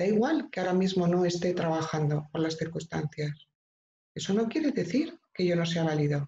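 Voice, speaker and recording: Over light background noise, a woman speaks with a dark, mellow tone, fairly low pitch, somewhat breathy delivery, ordinary pitch variation and very even loudness. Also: moderate pace. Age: 50s. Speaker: professional coach, former nurse; professional coach. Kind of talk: online training talk. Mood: warm, explanatory. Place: home room. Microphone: video call.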